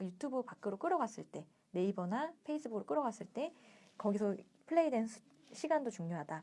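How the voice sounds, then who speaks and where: A woman's fairly high voice with a dark, mellow tone, very wide pitch swings and a fairly quick pace. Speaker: book reading livestream host. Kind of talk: reading aloud with commentary. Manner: fast.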